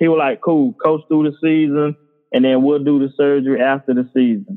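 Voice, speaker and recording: This man has a Georgia accent and a fairly high pitch. His pace is moderate. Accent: Southern US (Georgia). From US South, Bainbridge, Georgia. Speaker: high school coach and author. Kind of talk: casual interview, personal testimony.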